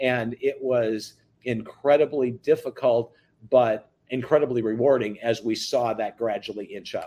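This man has a dark, mellow tone. He speaks at a fairly slow pace. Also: medium pitch for a man. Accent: American. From US Midwest, central Wisconsin. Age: 60s. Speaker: reverse mortgage business owner. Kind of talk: interview.

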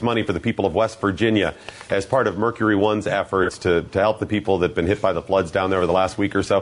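A man with an American accent talks at a very fast pace. There is noticeable background noise. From US Midwest, Ohio (Geneva on the Lake). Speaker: fill-in talk radio host. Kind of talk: casual talk radio chat. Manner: animated.

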